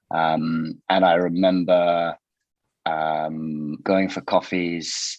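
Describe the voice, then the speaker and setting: This man talks with a British accent in a very deep, low voice. His intonation is monotone and flat. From Britain. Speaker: company founder and CEO. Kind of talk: podcast interview. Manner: hesitant, with fillers.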